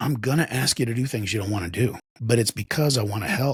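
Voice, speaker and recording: A man talks at a very fast pace in a somewhat breathy, medium-pitched voice with ordinary pitch variation. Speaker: addiction intervention professional. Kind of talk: podcast conversation. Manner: halting, repeats words.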